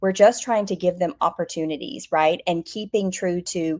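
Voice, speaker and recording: A woman speaks with an Alabama accent. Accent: Southern US (Alabama) accent, retained. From US South, Alabama. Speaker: behaviour analyst, business founder. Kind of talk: interview. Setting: online live stream.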